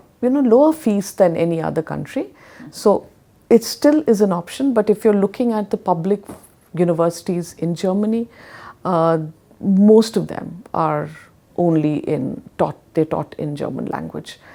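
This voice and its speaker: A woman's medium-pitched voice with a dark, mellow tone, an Indian accent and a moderate pace. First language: Hindi. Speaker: education consultant. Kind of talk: interview.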